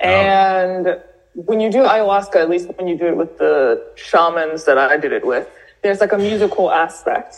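In an American accent, a woman talks at a moderate pace and medium pitch with ordinary pitch variation in an unremarkable speaking voice. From US South, New Orleans. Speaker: writer and diversity training founder. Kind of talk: interview.

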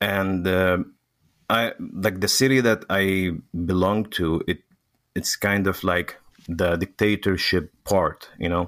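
A man with an Arabic accent and a very deep, low pitch speaks at a very slow pace. His loudness stays very even and his intonation fairly even. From Syria. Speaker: refugee. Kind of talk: interview conversation. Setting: remote call. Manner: halting, searches for words.

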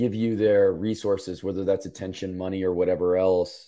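A man speaks in a low, gravelly voice with a dark, mellow tone. His pace is moderate and his pitch moves little.

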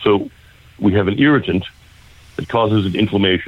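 The man's voice is fairly low in pitch, and he talks at a moderate speed. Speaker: naturopath. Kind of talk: radio interview.

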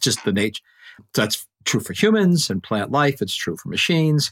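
A man speaks at a moderate pace in a dry, close sound with no echo, on a very clean recording with a silent background. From Canada. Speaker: physicist and energy expert. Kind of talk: interview. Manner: halting, frequent repetitions.

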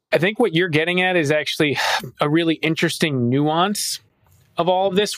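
Speaking at a medium speed, a man with a normal speaking voice talks at a fairly high pitch. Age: 30s. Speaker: finance professional and podcast co-host. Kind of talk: casual chat.

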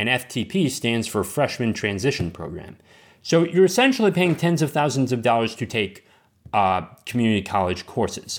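On a very clean recording with a silent background, a man with a medium pitch and an American accent speaks at a moderate pace with very wide pitch swings. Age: 20s. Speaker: podcast host. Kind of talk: casual monologue. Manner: halting, many fillers.

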